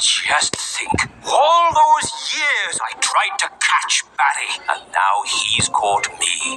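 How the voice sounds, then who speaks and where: A man uses a cartoonish character voice at an extremely high pitch and a very slow pace. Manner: theatrical pirate talk.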